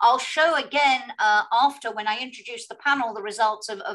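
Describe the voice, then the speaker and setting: With a British accent, a woman speaks at a moderate pace in a fairly high pitch over a quiet background. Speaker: moderator. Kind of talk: moderated panel discussion. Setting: online video event. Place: home room.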